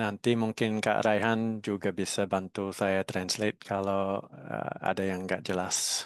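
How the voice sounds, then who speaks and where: Speaking fairly slowly with a non-native accent, a man keeps a fairly even intonation at a fairly low pitch, in a dry, close sound with no echo and a quiet background. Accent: foreign accent in Indonesian. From Australia. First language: English (speaking Indonesian). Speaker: national frisbee team coach. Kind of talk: webinar talk. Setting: online webinar. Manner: halting.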